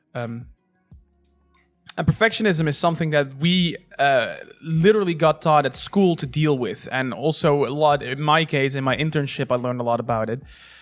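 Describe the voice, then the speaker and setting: With music playing in the background, a man speaks at a fairly high pitch with ordinary pitch variation. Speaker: podcast co-host. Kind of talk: casual discussion. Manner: fast.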